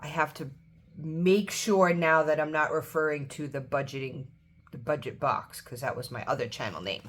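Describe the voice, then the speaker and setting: With an American accent, a woman speaks at a moderate pace in a very deep, low voice with ordinary pitch variation. Her loudness swings widely. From New York. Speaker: baker and budgeting vlogger. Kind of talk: casual vlog chat. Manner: hesitant, many fillers.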